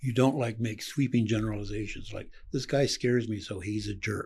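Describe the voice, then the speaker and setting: An American-accented man, medium-pitched and somewhat breathy, at a fairly quick pace with fairly even intonation, on a very clean recording with a silent background. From Colorado. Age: 70s. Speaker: podcast host, therapist. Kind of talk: casual interview chat.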